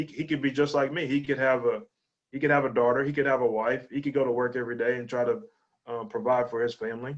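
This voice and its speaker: A man at medium pitch with a Texas accent, talking at a fairly quick pace. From East Texas, Lufkin. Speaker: high school athletic director and coach. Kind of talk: interview conversation. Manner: halting, with many repetitions.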